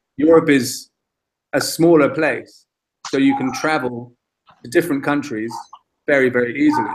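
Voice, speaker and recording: A man with a London accent speaks at fairly high pitch, with fairly even intonation and long, frequent pauses. His loudness swings widely. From England, London (born in Dublin). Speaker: English teacher. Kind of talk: casual chat. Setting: video call. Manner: slow.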